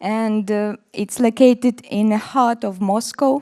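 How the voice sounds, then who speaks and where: The very slow delivery carries a dark, mellow tone, with a dry, close sound with no echo and a very clean recording over a silent background. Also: woman. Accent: Russian. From Russia. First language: Russian. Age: 40s. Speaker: dermatologist. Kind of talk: conference presentation. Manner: halting.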